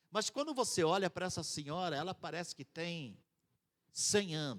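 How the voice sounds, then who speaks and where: Over a silent background in a very clean recording, a man speaks at a high pitch with lively intonation, the sound dry and close with no echo. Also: moderate pace. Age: 60s. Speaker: missionary. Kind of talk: sermon.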